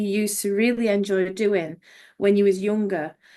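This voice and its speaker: A woman with an English accent and a fairly high pitch talks at a moderate pace over a quiet background. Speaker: author. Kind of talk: podcast interview.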